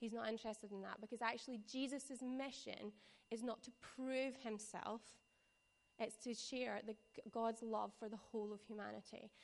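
In a strong West Coast Scottish accent, a woman speaks at a moderate pace in a fairly high voice with monotone, flat intonation. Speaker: preacher or church youth leader. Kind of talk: sermon. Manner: casual, conversational.

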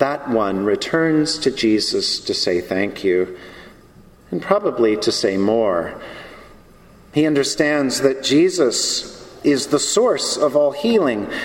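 The pitch swings very widely and the pace is very slow. Room echo is audible. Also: man, fairly high pitch for a man. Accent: American. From US South. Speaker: preacher. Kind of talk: sermon.

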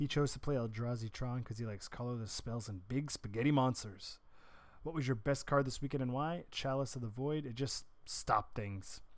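An ordinary speaking voice from a man, medium in pitch and fairly quick, its pitch varying in an ordinary way. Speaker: podcast host. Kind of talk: podcast news recap. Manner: informal, chatty.

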